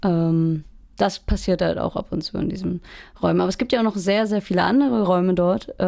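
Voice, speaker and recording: The tone is dark and mellow, with ordinary pitch variation and a fairly quick pace broken by long, frequent pauses. The recording is very clean, with a silent background. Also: woman, medium pitch for a woman. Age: 20s. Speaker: music student and band musician. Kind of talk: casual chat.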